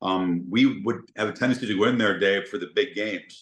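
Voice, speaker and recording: Against a quiet background, a man with a normal speaking voice and fairly low pitch talks at a moderate pace. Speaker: sports announcer. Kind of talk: podcast interview answer.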